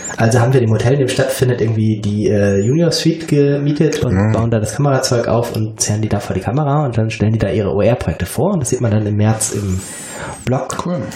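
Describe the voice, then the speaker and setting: Noticeable background noise and audible room echo surround the recording. A man talks very fast at a medium pitch, with ordinary pitch variation. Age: 40s. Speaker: educational consultant. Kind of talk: casual chat. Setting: in a kitchen. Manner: hesitant, many filler sounds.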